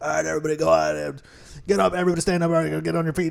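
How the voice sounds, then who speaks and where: A man puts on a raspy character voice and races through his lines at a very fast pace. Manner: barking orders.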